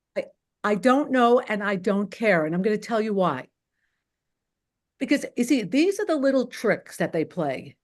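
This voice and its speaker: With a New York accent, a woman speaks in very wide pitch swings, leaving long, frequent pauses. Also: fairly high pitch for a woman, moderate pace. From Queens, New York. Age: 60s. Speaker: caller. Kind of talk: heated debate. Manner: animated.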